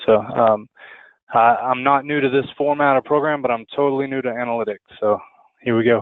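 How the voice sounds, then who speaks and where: A man with a Texan accent speaks at a fairly quick pace with fairly even intonation. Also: medium pitch for a man. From Texas. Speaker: student, product designer. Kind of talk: class self-introduction. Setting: online class web meeting.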